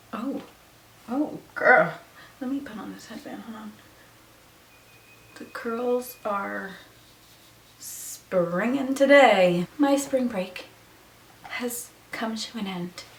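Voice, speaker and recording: Very slow speech with long, frequent pauses, ordinary pitch variation, big swings in loudness and noticeable background noise. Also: woman. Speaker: beauty and lifestyle vlogger. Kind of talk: casual chat. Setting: home bedroom. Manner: chatty, casual.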